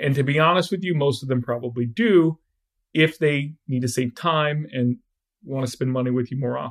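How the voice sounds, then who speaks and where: A man talks in a normal speaking voice at a fairly high pitch. His pace is moderate, with ordinary pitch variation. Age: 40s. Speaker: app developer and startup co-founder. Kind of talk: podcast interview.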